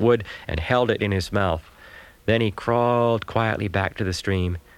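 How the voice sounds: A natural reading voice carries the clip. It reads from start to finish.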